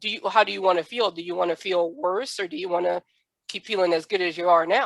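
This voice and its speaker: With an American accent, a woman rattles along at a very fast pace and a fairly low pitch, in a dry, close sound with no echo. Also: ordinary pitch variation. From US South. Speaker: podcast host. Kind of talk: podcast interview.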